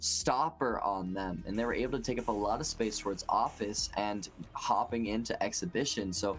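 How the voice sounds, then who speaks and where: Moderate pace, with music in the background. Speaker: esports caster. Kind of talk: live commentary. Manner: animated.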